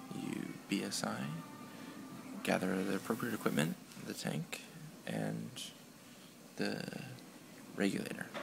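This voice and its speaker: A whispering man at a moderate pace, with long, frequent pauses and music in the background. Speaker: EMT student. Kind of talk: skill demonstration walkthrough. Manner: whispered. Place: classroom. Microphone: phone near.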